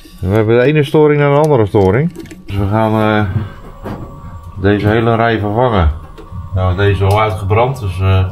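A man speaks at a fairly quick pace in a fairly low voice, with ordinary pitch variation. Long, frequent pauses break up his speech while faint music plays in the background. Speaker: yacht vlogger refitting boat. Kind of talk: casual vlog chat. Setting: outdoors at marina. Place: boat. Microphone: phone near.

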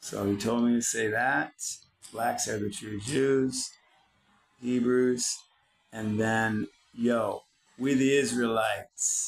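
A man with an American accent talks at a medium pitch. His pace is very slow, broken by long, frequent pauses. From US Midwest, Detroit. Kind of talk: rant-style tutorial monologue. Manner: animated.

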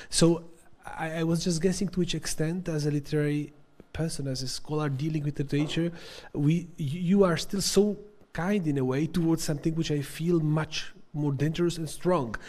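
A man talks with a fairly high pitch, fairly even intonation and a dark, mellow tone. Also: moderate pace. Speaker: audience member. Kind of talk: academic Q&A. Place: hall. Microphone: handheld.

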